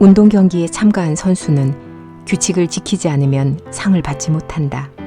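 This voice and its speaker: A woman's very deep, low voice at a fairly slow pace, with music in the background. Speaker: audiobook narrator, senior voice actor. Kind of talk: Bible reading.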